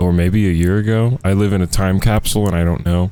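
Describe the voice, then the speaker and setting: Soft-spoken and dark, mellow in tone, at a fairly quick pace with fairly even intonation. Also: man. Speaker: YouTuber talking about video games. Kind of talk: casual gaming monologue. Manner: rambling, halting.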